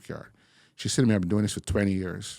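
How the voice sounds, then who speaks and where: Dry and close with no echo, a man speaks with a strong Bajan accent in a dark, mellow tone. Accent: heavy Bajan. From Barbados (born in England). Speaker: interview guest, bank career professional. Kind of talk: interview conversation.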